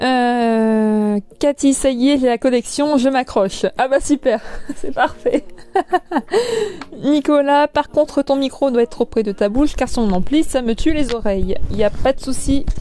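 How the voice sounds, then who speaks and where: A woman speaks at a high pitch with ordinary pitch variation and very even loudness. Noticeable background noise is present. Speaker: YouTuber and collector. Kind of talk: live stream chat with viewers. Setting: live stream from home. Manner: hesitant, many fillers.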